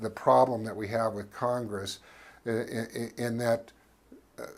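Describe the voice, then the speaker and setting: A man's medium-pitched voice at a fairly slow pace. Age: 60s. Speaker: talk show host and cannabis advocate. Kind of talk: scripted monologue to camera.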